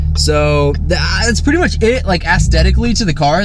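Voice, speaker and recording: Audible room echo and noticeable background noise surround speech at a fairly quick pace. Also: man. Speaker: car enthusiast YouTuber. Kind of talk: casual car review vlog. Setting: in a car. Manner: loud. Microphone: audio distorted by exhaust.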